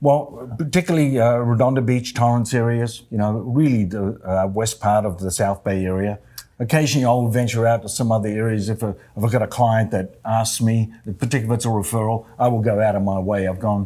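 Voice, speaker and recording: At a fairly quick pace, a man in an Australian accent speaks with a medium pitch and ordinary pitch variation. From Australia, Adelaide. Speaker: real estate agent. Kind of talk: interview. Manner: halting.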